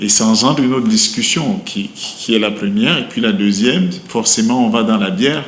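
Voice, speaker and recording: At a moderate pace and with hardly any pauses, a man with a medium pitch and lively intonation talks through noticeable background noise and audible room echo. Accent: Cameroonian. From Cameroon. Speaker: brewery company manager. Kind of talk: interview. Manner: hesitant, many fillers.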